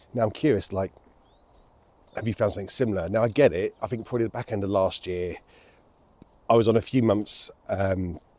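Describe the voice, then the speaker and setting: A man talks with a British accent and fairly even intonation. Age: 40s. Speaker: vlogger. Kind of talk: personal vlog monologue. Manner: casual, hesitant with fillers.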